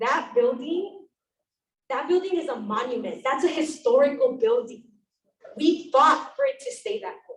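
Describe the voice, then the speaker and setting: With an American accent, a woman talks in a high voice, her pitch swinging very widely and her loudness rising and falling in big swings. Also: moderate pace. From East Los Angeles, California. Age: 20s. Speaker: community member speaking at public meeting. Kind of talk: public comment at community meeting.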